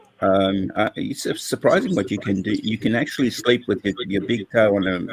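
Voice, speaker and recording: A man with a fairly low pitch at a moderate pace. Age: 60s. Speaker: professor and educator. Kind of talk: casual chat. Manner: halting.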